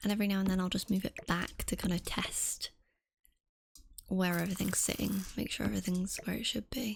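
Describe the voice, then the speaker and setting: Soft-spoken, this voice moves at a fairly quick pace. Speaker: gaming video creator. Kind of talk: casual gameplay commentary.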